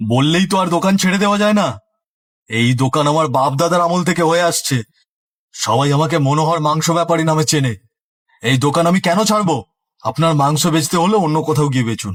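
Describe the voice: Someone performs a cartoonish character voice. The pace is moderate. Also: man, fairly high pitch for a man.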